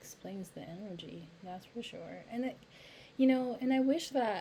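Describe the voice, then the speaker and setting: Fairly slow pace from a woman. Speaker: YouTube commentator. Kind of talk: reaction commentary.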